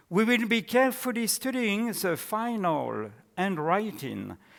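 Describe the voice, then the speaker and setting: This man speaks with a French accent. His pace is very slow, and his intonation is lively. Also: very clean recording, silent background. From France. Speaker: historian and theologian. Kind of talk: academic lecture read from a paper. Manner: formal.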